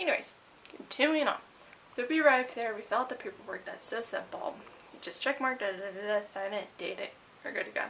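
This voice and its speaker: A woman's high voice at a very fast pace, with lively intonation, big swings in loudness, long, frequent pauses and noticeable background noise. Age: 20s. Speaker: beauty vlogger. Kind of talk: casual vlog. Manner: animated.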